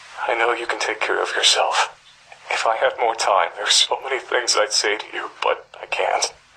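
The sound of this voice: A put-on character voice with vocal fry, a bright, sharp tone, fairly even intonation, and a moderate pace. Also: man, fairly low pitch for a man.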